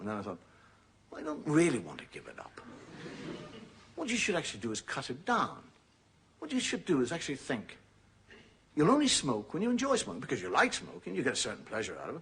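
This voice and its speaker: Speaking at a fairly quick pace, a man talks with an Irish accent. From Ireland. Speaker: comedian. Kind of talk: stand-up comedy monologue. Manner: conversational, hesitant.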